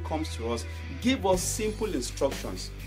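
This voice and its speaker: A man talks at a fairly quick pace. Clear music plays in the background. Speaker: motivational speaker. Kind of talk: sermon-style talk to camera. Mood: earnest, calm. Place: home room. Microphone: phone near.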